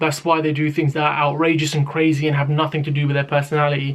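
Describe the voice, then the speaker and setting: In a strong British accent, a man with a fairly high pitch and a somewhat breathy voice speaks at a very fast pace in a flat monotone. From Britain. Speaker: rapper and YouTuber. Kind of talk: casual talk to camera.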